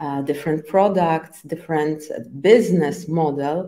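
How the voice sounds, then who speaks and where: A woman with a Polish accent speaks in a dark, mellow tone. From Poland. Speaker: agile trainer and coach. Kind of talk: interview. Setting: live stream. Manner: halting, many fillers.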